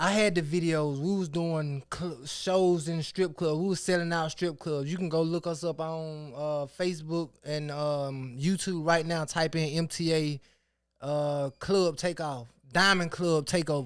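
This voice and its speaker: An unremarkable speaking voice with an American accent speaks at a fairly slow pace with fairly even intonation, recorded very cleanly against a silent background. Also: man, fairly high pitch for a man. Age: 30s. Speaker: rapper and record label owner. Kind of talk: casual interview chat.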